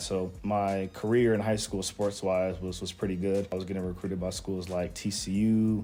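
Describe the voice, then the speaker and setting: Over music in the background, a man with an American accent speaks at a moderate pace in a very deep, low pitch with monotone, flat intonation. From Las Vegas, Nevada, USA. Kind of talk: interview answer.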